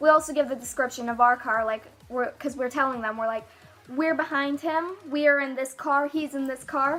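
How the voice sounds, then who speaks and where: Over music in the background, a woman speaks at a moderate pace in a high voice with fairly even intonation. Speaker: YouTuber. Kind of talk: story time vlog. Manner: breathless run-on delivery.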